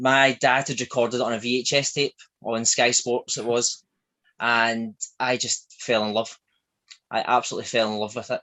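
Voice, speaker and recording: A man in a strong Glaswegian accent with monotone, flat intonation. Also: medium pitch for a man, moderate pace. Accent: thick Glaswegian. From Scotland, Glasgow. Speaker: shop owner. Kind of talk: interview.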